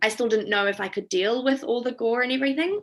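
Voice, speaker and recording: A woman speaks with a bright, sharp tone and vocal fry. Her pitch varies in an ordinary way. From New Zealand. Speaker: veterinarian. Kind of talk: presentation. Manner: hesitant.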